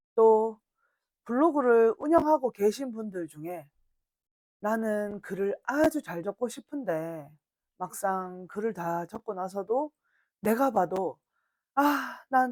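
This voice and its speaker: With a strong Gyeongsang accent, the speaker moves at a very slow pace with long, frequent pauses, very wide pitch swings and big swings in loudness, all in a dry, close sound with no echo. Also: woman. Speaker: blog instructor. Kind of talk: lecture.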